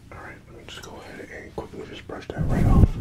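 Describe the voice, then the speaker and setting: A soft-spoken man talks at a very fast pace. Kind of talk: roleplay talk to viewer as client. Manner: soft-spoken ASMR barber voice. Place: home room. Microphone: phone near.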